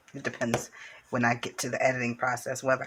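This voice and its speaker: Her pitch very deep and low, a woman speaks at a fairly quick pace. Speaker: craft channel host. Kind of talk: craft tutorial. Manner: casual, chatty.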